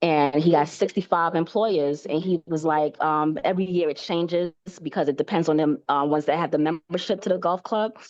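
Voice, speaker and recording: A woman with an American accent speaks at a fairly quick pace with hardly any pauses. Her fairly low pitch shows ordinary variation, and her loudness stays very even. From New York, Brooklyn. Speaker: new sales representative in training. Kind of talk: casual storytelling in a sales training session. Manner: animated; halting.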